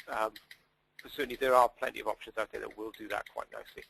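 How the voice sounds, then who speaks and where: A man with a Welsh accent, talking at a fairly quick pace. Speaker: sustainability data consultant. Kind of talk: webinar Q&A. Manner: hesitant, many fillers.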